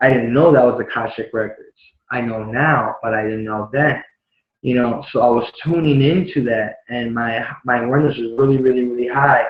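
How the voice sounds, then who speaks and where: A man with a Puerto Rican accent speaks at a moderate pace with fairly even intonation. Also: medium pitch for a man. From Chicago and Puerto Rico. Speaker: spiritual vlogger. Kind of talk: personal testimony. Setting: live video stream. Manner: casual, many fillers.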